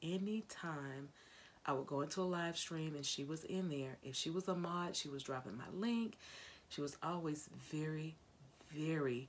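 Speaking at a fairly slow pace with long, frequent pauses, a woman uses a very deep, low pitch and ordinary pitch variation over light background noise. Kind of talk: casual vlog chat. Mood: warm, sombre in tribute. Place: home room. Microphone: phone near.

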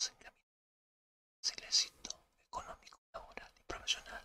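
A moderately paced whisper from a man. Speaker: tarot reader. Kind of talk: tarot reading, ASMR-style zodiac sign readings. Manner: soft-spoken, whispered.

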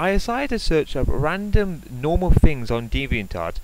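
At a moderate pace, a man with a normal speaking voice talks with a fairly high pitch and lively intonation. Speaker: commentary YouTuber. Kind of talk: sarcastic commentary video reacting to a rant clip. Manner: sarcastic, mocking.

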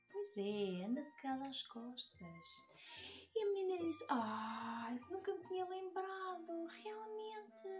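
A woman's high voice at a very slow pace with very wide pitch swings and faint music in the background. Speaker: children's book author and illustrator; storyteller. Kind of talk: children's story reading. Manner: lively, engaging, addressing children. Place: home room.

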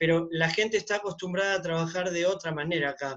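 In a quiet background, a man with a high pitch talks at a fairly quick pace in a monotone, flat intonation. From Argentina, Buenos Aires. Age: 50s. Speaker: shop owner. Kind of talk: audience question. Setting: video call. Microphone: video call.

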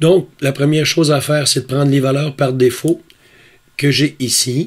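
Fairly even intonation in a fairly high male voice. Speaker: astrophotography YouTuber. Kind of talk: tutorial.

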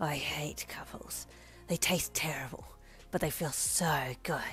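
Clear music plays behind a put-on character voice that is raspy and hissing, pitched low-to-middle and delivered at a fairly slow pace. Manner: menacing, gleeful.

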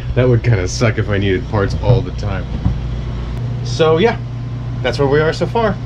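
A man talks at a moderate speed amid noticeable background noise. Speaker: boat owner vlogger. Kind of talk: casual vlog chat. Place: boat. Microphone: phone near.

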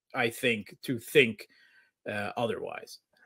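A man's bright, sharp tone at a fairly slow pace against a quiet background. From US, Scranton/Wilkes-Barre, Pennsylvania; Pennsylvania. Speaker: international relations analyst. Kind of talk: interview discussion. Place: home room.

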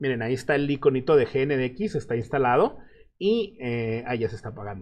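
A man's fairly high pitch with very wide swings, at a fairly quick pace. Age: 30s. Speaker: web developer and online instructor; online instructor. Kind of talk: live stream Q&A. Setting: live stream. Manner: casual. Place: home room.

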